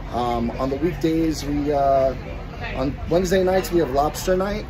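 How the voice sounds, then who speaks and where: Loud background noise sits behind a man who talks at a moderate pace with ordinary pitch variation. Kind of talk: interview answer. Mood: friendly, promotional. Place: street. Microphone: phone near.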